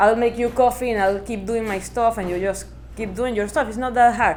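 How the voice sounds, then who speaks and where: A woman is speaking. She has a Spanish accent. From Venezuela. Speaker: interviewee, researcher in literature and music. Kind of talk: casual interview.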